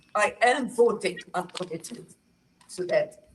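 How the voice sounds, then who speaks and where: Speaking very slowly, a woman has a somewhat breathy voice. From northern Palestine. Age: 80s+. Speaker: historian, retired professor. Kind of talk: testimony. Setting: talking circle with audience.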